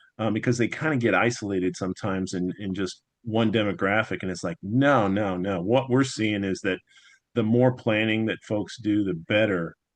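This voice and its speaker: A man's fairly low pitch, ordinary pitch variation and moderate pace. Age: 60s. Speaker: financial planner. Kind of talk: panel interview. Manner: halting, many fillers.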